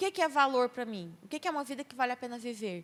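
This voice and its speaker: A woman with a bright, sharp tone talks at a fairly quick pace with ordinary pitch variation. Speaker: speaker on mental health at church youth event. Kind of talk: talk to church youth group. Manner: loud.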